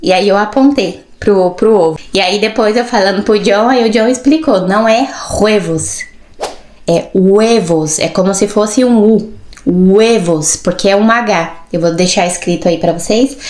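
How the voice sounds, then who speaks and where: Over noticeable background noise, a woman speaks at a fairly slow pace and a medium pitch with ordinary pitch variation. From Brazil. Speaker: vlogger. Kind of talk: casual vlog monologue. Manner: animated, with verbal fillers.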